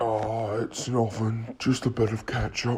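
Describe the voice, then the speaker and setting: A man puts on a character voice at a medium pitch. His intonation is monotone and flat. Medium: short film. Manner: casual, friendly on the surface.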